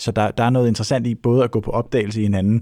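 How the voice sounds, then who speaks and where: In a very clean recording with a silent background, a man speaks very fast in a fairly low pitch with a dark, mellow tone. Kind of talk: casual chat. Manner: casual, swearing.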